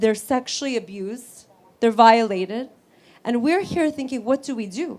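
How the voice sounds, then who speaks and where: A woman's animated, high-pitched voice in an American accent at a moderate pace. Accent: Egyptian accent noticed by others. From California, US. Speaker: human rights lawyer. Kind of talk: speech.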